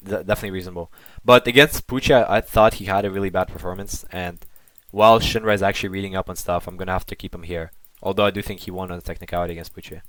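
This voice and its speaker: Speaking very fast with fairly even intonation, a man with a fairly low voice swings widely in loudness on a very clean recording with a silent background. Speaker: online debater and commentator. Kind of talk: casual monologue commentary.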